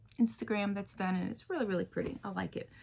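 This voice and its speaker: An American accent marks this woman's voice. She is soft-spoken. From US South, Louisiana. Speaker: cross-stitch video creator. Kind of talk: casual chat. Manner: halting.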